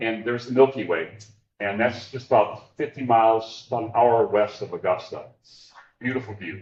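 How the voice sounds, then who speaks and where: A man talks at a moderate pace at a medium pitch, his intonation fairly even. His voice is somewhat breathy, with big swings in loudness. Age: 60s. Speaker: filmmaker and nature photographer. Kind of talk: public talk with slides. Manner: conversational, repeats words when starting sentences.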